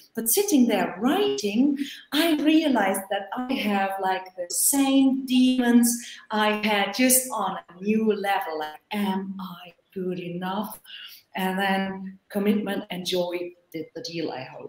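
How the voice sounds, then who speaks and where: A woman with a non-native accent and medium pitch speaks very slowly, her intonation lively and her loudness swinging widely. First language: not English. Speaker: author. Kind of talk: online panel discussion. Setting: video call.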